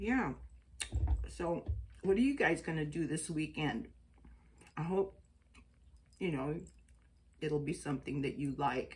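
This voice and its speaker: The intonation is lively, with vocal fry throughout. Delivery is fairly slow, with long, frequent pauses. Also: woman, very deep, low pitch for a woman. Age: 60s. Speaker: astrology and chakra vlogger. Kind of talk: casual vlog monologue. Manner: chatty, conversational.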